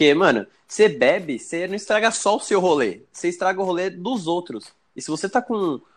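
Lively in intonation and high in pitch, a man speaks at a moderate pace with hardly any pauses. The background is quiet. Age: 20s. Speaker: podcast co-host. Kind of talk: casual chat.

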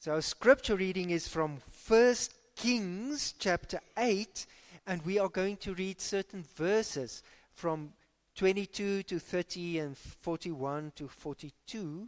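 A very slow pace in a South African accent, on a very clean recording with a silent background. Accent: South African English, Afrikaans-accented. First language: Afrikaans. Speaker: pastor. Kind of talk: sermon and fervent prayer in church. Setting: church. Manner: fervent, earnest, pleading.

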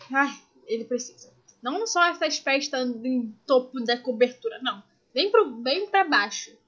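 Speaking at a fairly slow pace with a Carioca accent, this voice has an animated tone and lively intonation. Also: woman, high pitch for a woman. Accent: carioca Brazilian Portuguese. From Brazil, Rio de Janeiro. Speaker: podcast co-host. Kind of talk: casual chat.

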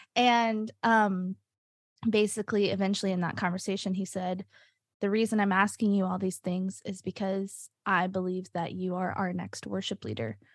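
A woman with an American accent speaks in a plain, everyday voice at medium pitch and a moderate pace. Her intonation is fairly even, and the recording is very clean with a silent background. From US South, Nashville, Tennessee. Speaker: church worship leader and singer. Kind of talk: casual chat.

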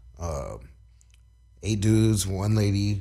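A man speaks at a very slow pace in a fairly low, somewhat breathy voice, on a very clean recording with a silent background. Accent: American. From Southern California, Long Beach. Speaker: filmmaker. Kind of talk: casual chat. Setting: studio. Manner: animated.

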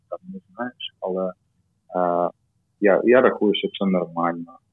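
A man speaks with a Russian accent. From Kyiv, Ukraine. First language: Russian (speaking Ukrainian). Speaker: amateur cycling team member. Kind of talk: casual chat. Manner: halting.

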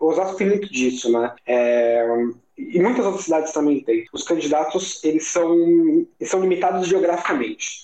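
Moderately paced, lively male speech pitched high. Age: 30s. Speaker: political marketing professional. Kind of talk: casual political discussion.

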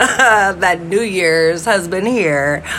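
A woman at a very slow pace, with audible room echo and noticeable background noise. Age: 30s. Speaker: podcaster. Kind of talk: casual monologue.

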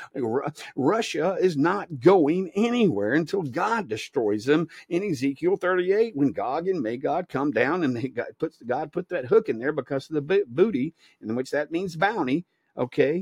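With a Southern US accent, a man talks at a moderate pace in a fairly high pitch, with lively intonation and a dry, close sound with no echo. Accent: Southern US (Georgia). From US state of Georgia. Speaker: evangelist podcast host. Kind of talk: informal sermon. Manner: halting, many fillers and repeats.

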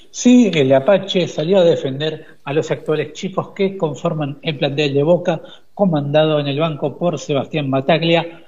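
A man's normal speaking voice, fairly high in pitch, with ordinary pitch variation and a fairly slow pace. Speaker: sports reporter. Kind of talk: radio sports news reading.

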